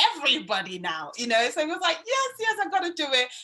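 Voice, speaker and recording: A woman speaks at a fairly quick pace with a Yoruba accent and an enthusiastic tone. Her voice is bright and sharp, with very wide pitch swings. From Nigeria. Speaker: student union vice president. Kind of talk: interview.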